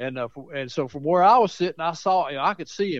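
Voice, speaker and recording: At a fairly quick pace, a man with a Southern US accent speaks at a fairly high pitch, his intonation lively. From Mount Pleasant, Tennessee. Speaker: author. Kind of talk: storytelling. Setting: phone call.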